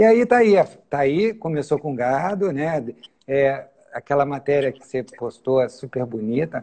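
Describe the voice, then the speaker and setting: This man's pitch is fairly high. He talks fairly slowly, and his intonation is lively. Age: 60s. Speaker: farmer and engineer. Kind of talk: interview. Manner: halting.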